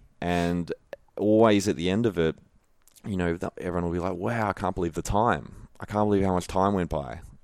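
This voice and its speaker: A man talks fairly quickly with an Australian accent. His pitch is very deep and low, with ordinary variation. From Melbourne, Australia. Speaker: former pro footballer and holistic nutritionist. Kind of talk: casual interview chat.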